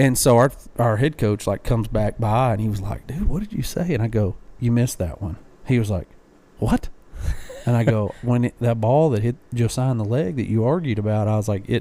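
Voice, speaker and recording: A man with a dark, mellow tone speaks at a fairly quick pace, his pitch varying in an ordinary way. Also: medium pitch for a man. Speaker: podcast co-host. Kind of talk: casual chat. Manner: loud; animated.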